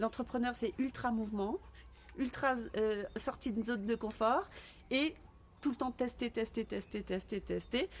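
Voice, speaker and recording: A woman speaks with a fairly high pitch. Her pace is fairly slow. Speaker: business coach. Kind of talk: live stream talk. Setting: live video stream.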